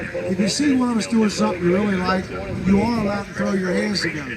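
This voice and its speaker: A man's high voice with ordinary pitch variation, audible room echo and noticeable background noise. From southern Ohio. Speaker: lumberjack show performer and announcer. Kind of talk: live show announcing. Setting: stage with audience. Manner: animated.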